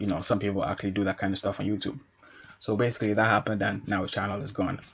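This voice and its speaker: A somewhat breathy, fairly low-pitched man's voice at a very fast pace, with fairly even intonation. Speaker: YouTube commentator. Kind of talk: commentary monologue. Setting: quiet environment, speaking softly. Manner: subdued, not raising voice; hesitant with many fillers.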